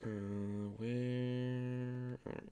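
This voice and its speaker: This man is soft-spoken. His intonation stays fairly even. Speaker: game developer streaming. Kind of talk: live coding stream, casual. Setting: live stream.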